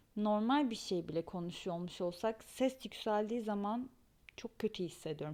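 A woman's medium-pitched voice moves at a fairly slow pace with ordinary pitch variation. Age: 30s. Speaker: podcast host. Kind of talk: personal monologue.

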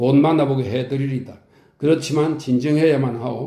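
In a calm, soothing, dark and mellow tone that is somewhat breathy, a man speaks at medium pitch and a moderate pace with fairly even intonation. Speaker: audiobook narrator. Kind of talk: audiobook reading of a classic novel.

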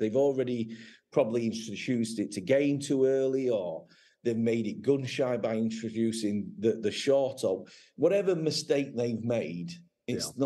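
In an English accent, a man speaks at a medium pitch with a dark, mellow tone. His pace is moderate and his pitch variation ordinary. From England. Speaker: gun dog website owner and former trialer. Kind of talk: casual interview chat. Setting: video call.

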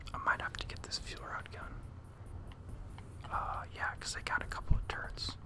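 Whispering at a fairly slow pace, the speaker shows big swings in loudness over noticeable background noise. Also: man, hardly any pauses. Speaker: ASMR gaming content creator. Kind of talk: casual talk to camera. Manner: soft-spoken, whispered.

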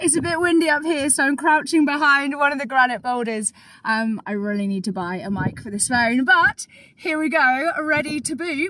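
A woman's raised, projected voice at a moderate pace, with a dry sound with no echo. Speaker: hiking vlogger. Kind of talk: casual vlog chat. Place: open country. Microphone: phone near.

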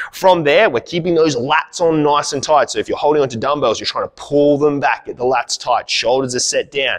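A man's moderately paced speech comes through with hardly any sound behind it. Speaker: fitness coach. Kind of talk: tutorial. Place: gym.

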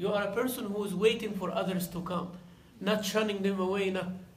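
High-pitched man at a fairly quick pace, fairly even intonation, strong room echo

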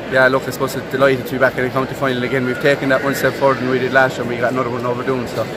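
Noticeable background noise accompanies a man whose words come at a very fast pace. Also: hardly any pauses, dry sound with no echo. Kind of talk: interview answer. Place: stadium. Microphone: phone near.

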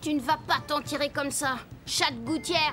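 Someone growls in a put-on character voice at a moderate pace, with clear background noise. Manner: growling.

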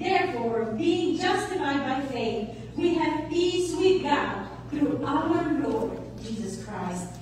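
Through noticeable background noise and strong room echo, a woman speaks at a very slow pace. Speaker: concert narrator. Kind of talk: scripture reading narration. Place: church. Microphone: camera far.

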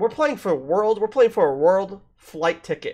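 Lively intonation from a man, set against a quiet background. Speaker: gaming podcast host. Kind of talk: casual podcast conversation. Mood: reflective, mildly critical. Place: home room. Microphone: studio mic.

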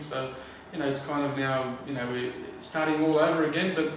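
A man talks at a very fast pace with a fairly high pitch, strong room echo and light background noise. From Australia. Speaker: professional footballer. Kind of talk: interview answer. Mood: relaxed, friendly. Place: home room.

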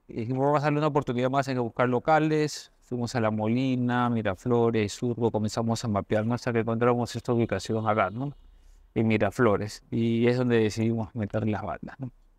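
A man speaks at medium pitch and a fairly quick pace with fairly even intonation. The sound is dry with no echo, over a quiet background. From Peru, Lima (Barranco); Peru. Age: 40s. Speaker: restaurant owner, economist; interview guest. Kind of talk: interview. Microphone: lapel.

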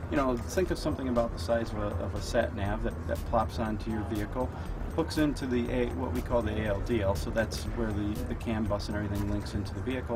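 Behind a man talking at a fairly quick pace, music plays in the background. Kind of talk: interview answer. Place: hall.

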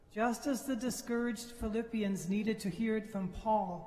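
A man speaks slowly at a high pitch, in a slightly mellow tone with fairly even intonation. Audible room echo surrounds his voice.

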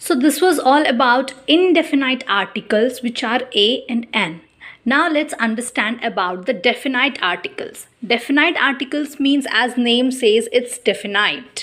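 The speaker has an Indian accent and lively intonation at a fairly slow pace. The background is quiet. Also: woman, high pitch for a woman. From India, Chhattisgarh. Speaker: teacher. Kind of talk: teaching demo lesson. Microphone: phone near.

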